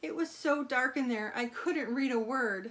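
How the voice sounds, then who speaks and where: A woman puts on a character voice that is high-pitched, raised and projected. Her intonation is lively and her pace moderate. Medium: read story.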